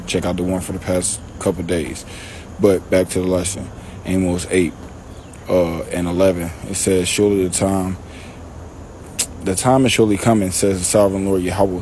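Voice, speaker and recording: A man with a very deep, low pitch mumbles at a moderate pace with fairly even intonation and long, frequent pauses over noticeable background noise. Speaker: religious teacher. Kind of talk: scripture teaching. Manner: mumbling; casual, halting.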